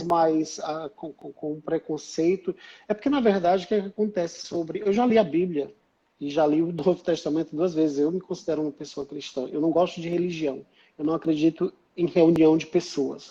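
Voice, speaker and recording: A man speaks at a moderate pace, his pitch high for a man. His tone is dark and mellow, with fairly even intonation. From Northeast Brazil. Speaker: writer. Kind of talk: interview answer.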